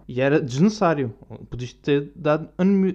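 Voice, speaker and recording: Speaking with a European Portuguese accent, a man uses a fairly high pitch, ordinary pitch variation and a moderate pace. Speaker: video blogger. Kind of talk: casual monologue. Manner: animated.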